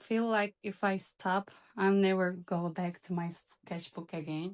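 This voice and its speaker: A woman with a non-native accent speaks very slowly at a medium pitch, in a dry, close sound with no echo. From Turkey, Istanbul. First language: Turkish. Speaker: illustrator. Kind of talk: vlog voiceover narration.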